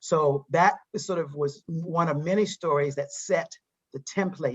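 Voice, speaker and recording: Her pace is fairly slow. This woman's pitch variation is ordinary. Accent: American. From US South, eastern North Carolina. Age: 60s. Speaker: psychologist and diversity trainer. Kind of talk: interview. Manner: halting.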